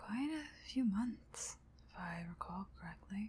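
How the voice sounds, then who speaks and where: Soft-spoken, this speaker delivers words at a very slow pace. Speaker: ASMR creator. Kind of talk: ASMR rambling to camera.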